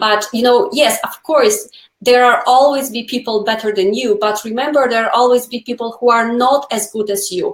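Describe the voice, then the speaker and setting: Her pitch high and her intonation fairly even, a woman with a non-native accent speaks with hardly any pauses. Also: moderate pace. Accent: foreign. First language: not English. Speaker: nail educator. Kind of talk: casual chat. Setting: live video stream.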